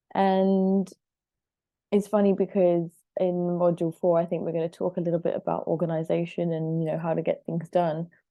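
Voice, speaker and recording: Monotone and flat in intonation, a woman talks at a moderate pace in a fairly low pitch. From Switzerland. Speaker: life coach and healer. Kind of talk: online course talk. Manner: casual, chatty.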